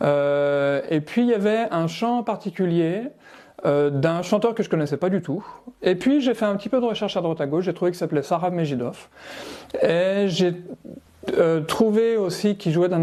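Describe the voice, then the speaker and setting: At a moderate pace, the voice moves with ordinary pitch variation. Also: man, high pitch for a man. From France, Savoie. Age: 40s. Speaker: amateur musician. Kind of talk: interview. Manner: hesitant, with many fillers.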